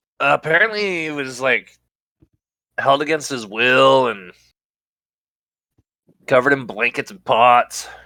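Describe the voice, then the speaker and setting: A man puts on a character voice, raspy and medium in pitch, at a moderate pace. His loudness swings widely, and he leaves long, frequent pauses. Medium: actual play. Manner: rambling, stumbling over words.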